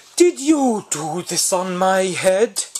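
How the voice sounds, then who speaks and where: The speaker puts on a character voice. Its pitch stays in the middle range. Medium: read story.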